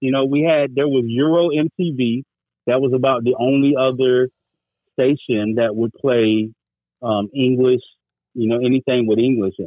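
In an ordinary speaking voice, someone with an American accent talks at a moderate pace with fairly even intonation. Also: man, medium pitch for a man. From North Carolina (military brat, grew up partly in Germany). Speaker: podcast host appearing as guest. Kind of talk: casual chat.

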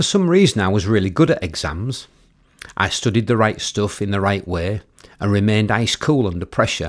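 A man with an East Yorkshire accent at a moderate pace and lively intonation, in a very clean recording with a silent background. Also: fairly low pitch for a man. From East Yorkshire, Cottingham near Hull. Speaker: memoir author narrating own book. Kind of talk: audiobook reading of a memoir.

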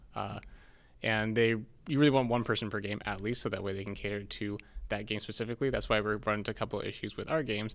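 A man with a Californian accent talks at a very fast pace. His pitch is fairly low and his intonation fairly even. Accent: General Californian American. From US West Coast, San Diego. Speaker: DevOps engineer in games. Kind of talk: casual interview.

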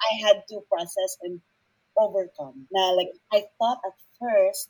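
A dark, mellow tone with a dry, close sound with no echo. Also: woman. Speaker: guest. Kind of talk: casual conversation. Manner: loud.

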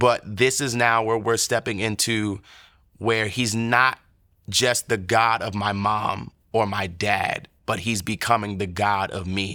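A man with an American accent speaks at a very slow pace in monotone, flat intonation. His fairly low pitch has a bright, sharp tone, on a very clean recording with a silent background. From US suburbs. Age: 20s. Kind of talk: testimony.

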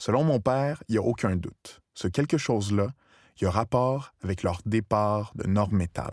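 A man with a normal speaking voice talks fairly slowly at a fairly low pitch with ordinary pitch variation. The sound is dry and close with no echo. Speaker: documentary narrator. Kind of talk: scripted narration.

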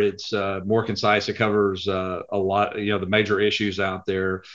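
A man speaks at a moderate pace with a fairly low pitch. The background is quiet. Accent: Texan. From Texas (Lubbock). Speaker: private equity accounting executive. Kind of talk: interview.

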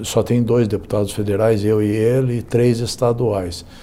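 A man's medium-pitched voice at a fairly slow pace. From Brazil, São Paulo state. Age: 60s. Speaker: politician. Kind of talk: interview. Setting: studio.

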